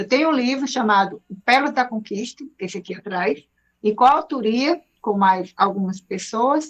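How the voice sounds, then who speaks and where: In an ordinary speaking voice, a woman talks at a fairly high pitch with lively intonation. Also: moderate pace. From Brazil, Ceará (Fortaleza). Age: 60s. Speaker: speaker and mentor. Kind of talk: self-introduction on radio. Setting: radio studio.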